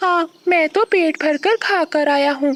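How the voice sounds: A cartoonish character voice pitched high.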